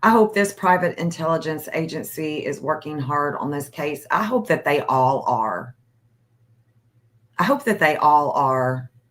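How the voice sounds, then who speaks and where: Her voice is very deep and low for a woman. She speaks fairly slowly with lively intonation. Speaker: livestream host. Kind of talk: casual livestream chat.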